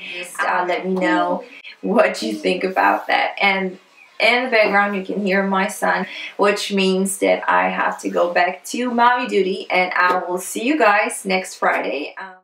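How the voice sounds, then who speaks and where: A woman speaks at a fairly slow pace. Audible room echo surrounds her voice. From Poland. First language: Polish. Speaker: beauty blogger. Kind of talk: casual talk to camera. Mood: upbeat, friendly.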